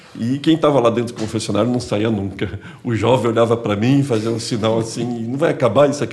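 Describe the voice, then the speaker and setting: Over noticeable background noise, a man talks at a fairly quick pace and medium pitch with ordinary pitch variation and hardly any pauses. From Santos, São Paulo coast, Brazil. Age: 50s. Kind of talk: podcast conversation.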